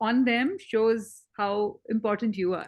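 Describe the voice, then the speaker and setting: This woman speaks in a Tamil accent. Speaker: interviewer. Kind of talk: interview.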